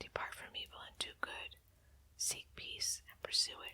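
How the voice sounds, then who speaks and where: A whisper comes through at a moderate speed, with noticeable noise behind it. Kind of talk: whispered Bible reading for sleep. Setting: fireside with crackling fire and candlelight. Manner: whispered, soft, quiet.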